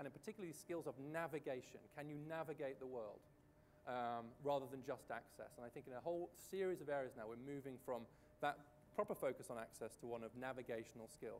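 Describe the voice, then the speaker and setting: A man with a British accent talks very fast at a fairly high pitch, with ordinary pitch variation and light background noise. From Britain. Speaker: economic policy researcher. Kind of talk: panel discussion. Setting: stage with audience at a conference. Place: stage. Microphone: lapel.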